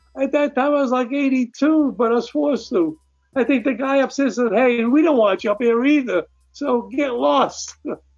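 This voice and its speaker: Here is a man with a New York accent and an extremely high pitch. He keeps a moderate pace, ordinary pitch variation and very even loudness. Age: 80s. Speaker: musician and former film editor. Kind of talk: casual interview. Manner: talkative, rambling storyteller.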